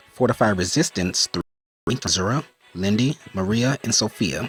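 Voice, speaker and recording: Music plays in the background as a man speaks at a medium pitch in a dry, close sound with no echo. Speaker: gaming YouTuber. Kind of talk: gaming tutorial. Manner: fast.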